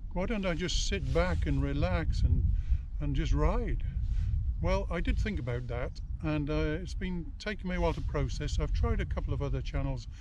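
Noticeable background noise, a dry recording without echo, and a man at a moderate pace. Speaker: retired motorcyclist. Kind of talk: casual talk to camera. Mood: relaxed, upbeat, reflective. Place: open country.

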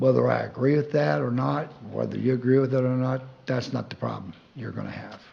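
A man talks at a fairly quick pace. Noticeable background noise and audible room echo fill the recording. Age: 70s. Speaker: public commenter. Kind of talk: public comment at council meeting. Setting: city council meeting.

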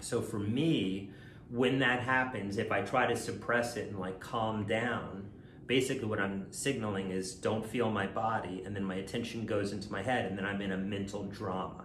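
At a moderate pace and with fairly even intonation, a man with a fairly low pitch speaks amid audible room echo and light background noise. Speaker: coach. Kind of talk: calm self-help talk to camera. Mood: calm, reassuring. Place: kitchen. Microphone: phone near.

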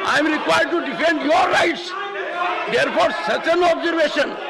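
A man talks at a fairly quick pace with ordinary pitch variation. Loud background noise runs underneath. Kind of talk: formal chairing of debate, admonishing. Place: hall. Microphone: podium.

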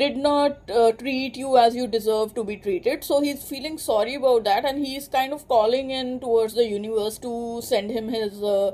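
A woman speaks at a moderate pace with a dark, mellow tone. Her pitch sits high for a woman, with ordinary pitch variation. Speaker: tarot reader. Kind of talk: tarot reading for a client. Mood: calm, reassuring. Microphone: phone near.

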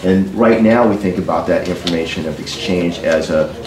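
There is noticeable background noise behind this man's very deep, low voice. He speaks at a moderate pace with fairly even intonation. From New Hampshire. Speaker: tech company executive; witness. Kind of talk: legislative testimony. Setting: state house committee hearing. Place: meeting room.

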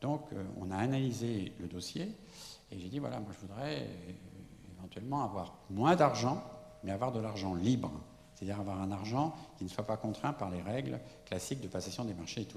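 A man's fairly low voice with lively intonation at a fairly quick pace, broken by long, frequent pauses, with audible room echo and light background noise. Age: 70s. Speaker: architect. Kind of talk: lecture. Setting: stage with audience. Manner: halting. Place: hall. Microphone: handheld.

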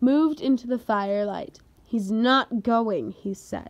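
The voice heard here is a natural reading voice.

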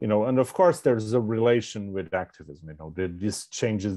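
Against a quiet background, a man speaks with a fairly low pitch. His pitch variation is ordinary. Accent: Portuguese. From Portugal. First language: Portuguese. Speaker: historian and professor; professor. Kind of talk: panel remarks. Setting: video call. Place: home room. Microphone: earbuds.

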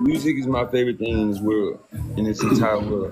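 A man speaking at a moderate pace over loud music in the background. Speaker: guest. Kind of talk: casual livestream chat. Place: home room. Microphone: phone near.

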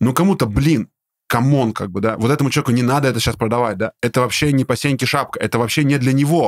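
Sounding dry and close with no echo, a man at medium pitch speaks at a fairly quick pace in an animated tone with ordinary pitch variation. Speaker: business podcast host. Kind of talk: casual interview. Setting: studio.

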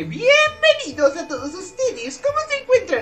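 Over music in the background, a put-on character voice at an extremely high pitch talks at a moderate pace. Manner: cheerful, theatrical welcome.

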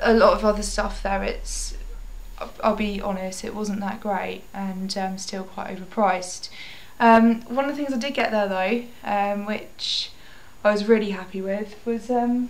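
With fairly even intonation, a woman delivers her words at a fairly slow pace. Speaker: vintage shop owner vlogger. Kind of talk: casual vlog chat. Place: home room. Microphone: webcam.

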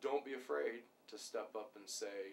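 The pace of this man's speech is moderate. There is light background noise in the recording. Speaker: police sergeant. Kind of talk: interview answer. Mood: calm, earnest. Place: office.

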